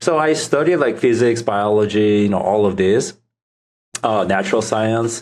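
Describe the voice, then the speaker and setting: A man speaks with a Korean accent at a moderate pace and medium pitch. His loudness stays very even, and his pitch varies in an ordinary way. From South Korea. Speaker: startup founder. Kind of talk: podcast interview. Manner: hesitant, many fillers.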